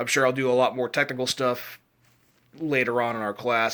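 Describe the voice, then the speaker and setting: A man's very fast, monotone delivery, flat in intonation, with a bright, sharp tone at a medium pitch. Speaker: vlogger. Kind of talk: casual vlog monologue. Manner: rambling, halting.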